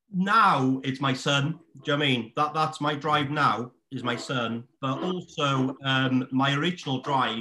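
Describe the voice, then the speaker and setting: A fairly high-pitched man with a Welsh accent at a fairly slow pace. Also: ordinary pitch variation. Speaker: estate agent. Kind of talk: casual chat.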